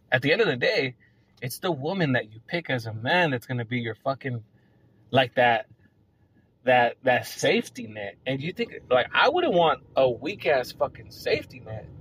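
At a moderate pace, a man with a plain, everyday voice and a medium pitch talks with lively intonation and big swings in loudness. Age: 30s. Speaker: podcast host. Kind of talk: casual monologue.

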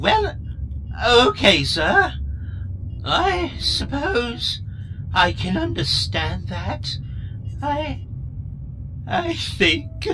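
A woman talks in a put-on character voice at a very slow pace with long, frequent pauses, over clear background noise. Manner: hurt, tearful.

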